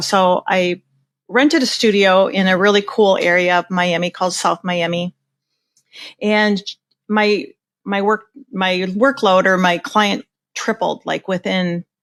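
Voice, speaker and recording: In a Minnesotan accent, a woman speaks at a fairly slow pace and medium pitch, with a dry, close sound with no echo. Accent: Minnesota. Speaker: portrait photographer. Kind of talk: podcast interview. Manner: casual, conversational.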